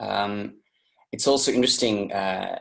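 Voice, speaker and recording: A man with an Australian accent speaks at a fairly slow pace. His voice is fairly low with ordinary pitch variation. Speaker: interview guest sharing personal story. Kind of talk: personal testimony. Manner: halting, many fillers and restarts.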